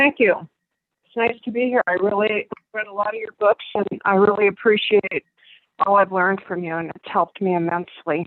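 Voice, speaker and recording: A woman speaks at a fairly quick pace in an ordinary speaking voice, her pitch medium with fairly even intonation, and her loudness swings widely. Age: 60s. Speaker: caller. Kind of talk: call-in conversation. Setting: phone call. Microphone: breaking up, far from phone.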